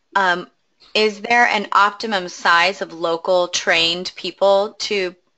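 A woman talks at a very slow pace in a medium-pitched voice. Her pitch varies in an ordinary way. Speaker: webinar moderator. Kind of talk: webinar moderation. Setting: online webinar.

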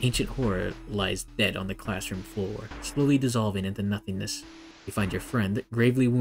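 An unforced reading voice with ordinary pitch variation carries through the clip.

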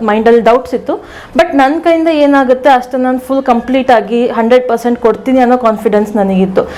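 A woman's high-pitched voice with ordinary pitch variation over noticeable background noise. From Dakshina Kannada, Karnataka (Sullia taluk village). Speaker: beauty pageant runner-up. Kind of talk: interview.

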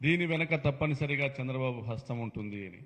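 A man in an animated tone with ordinary pitch variation. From Andhra Pradesh. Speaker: politician, state legislator; politician. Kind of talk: press conference speech. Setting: press meet with media. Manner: animated, combative; halting, phrase by phrase. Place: meeting room. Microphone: podium.

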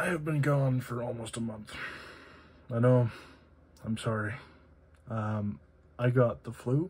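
A soft-spoken, somewhat breathy man at a fairly slow pace, with ordinary pitch variation and long, frequent pauses. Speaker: EDC gear reviewer. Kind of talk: product review. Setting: home, late at night. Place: home room. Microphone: phone near.

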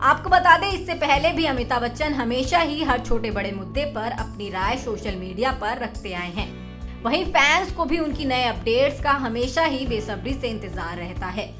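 Over music in the background, a woman speaks with hardly any pauses. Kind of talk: TV news report.

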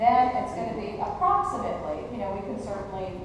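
Through strong room echo and noticeable background noise, a woman talks at a very fast pace. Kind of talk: meeting discussion. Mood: explaining, mildly defensive. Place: hall. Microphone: camera far.

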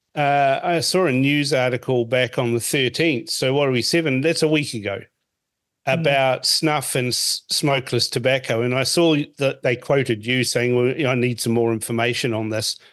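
A man with a New Zealand accent speaks at a moderate pace and medium pitch. His intonation is fairly even, and the background is quiet. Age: 50s. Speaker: radio host. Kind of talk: political interview.

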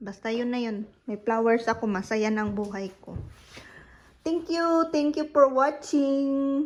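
A woman talks at a very slow pace in a high pitch. Her intonation is lively, and the background is quiet. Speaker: vlogger. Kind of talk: casual vlog. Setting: at home. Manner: laughing often.

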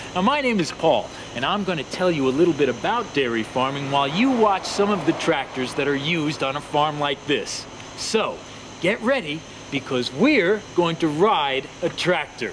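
Moderate-paced speech from a man, noticeable background noise underneath. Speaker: presenter. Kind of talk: children's educational presenting. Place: farm machine.

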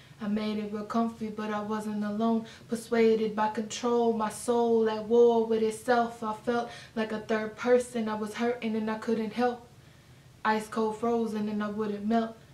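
A woman speaks at a moderate pace with monotone, flat intonation. Audible room echo surrounds her voice. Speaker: spoken word poet. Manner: casual and warm in the intro. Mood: emotional, earnest. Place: home room. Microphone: camera far.

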